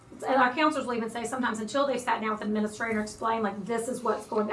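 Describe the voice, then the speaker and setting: A woman speaks at a fairly high pitch. There is noticeable background noise and audible room echo. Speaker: school administrator. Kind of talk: presentation to school board. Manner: fast.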